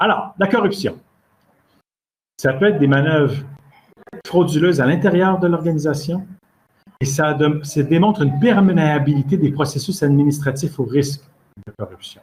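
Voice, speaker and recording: A man's fairly high, somewhat breathy voice in a Quebec accent, at a moderate pace with long, frequent pauses. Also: ordinary pitch variation. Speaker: standards expert and lecturer. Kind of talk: lecture. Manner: halting, with fillers and repetitions.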